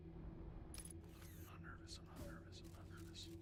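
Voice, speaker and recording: A man is whispering. He talks at a very slow pace. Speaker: video game streamer. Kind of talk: live gameplay commentary. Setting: livestream.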